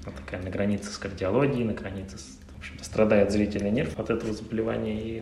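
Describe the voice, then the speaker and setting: A man talks at a very fast pace with lively intonation and a fairly low pitch, amid audible room echo and noticeable background noise. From Russia, Saint Petersburg. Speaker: ophthalmologist. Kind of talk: interview.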